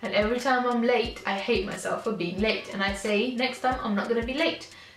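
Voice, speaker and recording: With light background noise and audible room echo, a woman speaks with fairly even intonation. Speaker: vlogger. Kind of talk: casual vlog chat. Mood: candid, somewhat low, frank.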